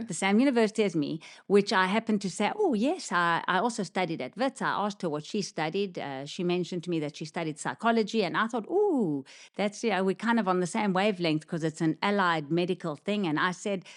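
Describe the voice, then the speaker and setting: A woman's medium-pitched voice with a slight South African accent, very fast delivery, ordinary pitch variation, and a quiet background. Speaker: podcast co-host, physiotherapist. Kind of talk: casual chat.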